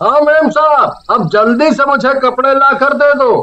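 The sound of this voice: A man puts on a cartoonish character voice at an extremely high pitch. He talks at a moderate pace.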